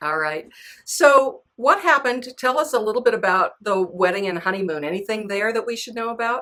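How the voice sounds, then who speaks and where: Speaking at a fairly quick pace, a woman has an ordinary speaking voice with a fairly high pitch. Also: lively intonation, very clean recording, silent background. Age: 60s. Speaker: author and podcast host. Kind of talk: interview.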